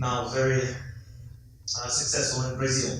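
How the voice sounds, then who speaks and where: Amid noticeable background noise and audible room echo, a man speaks at medium pitch and a very slow pace. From Russia. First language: Russian. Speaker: investment fund director. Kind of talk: conference talk. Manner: halting, many fillers.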